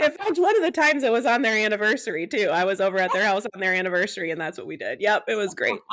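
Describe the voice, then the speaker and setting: Talking at a very fast pace, a woman uses a fairly high pitch, very wide pitch swings and an animated tone. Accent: American. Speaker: podcast host and nurse practitioner. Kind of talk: casual chat.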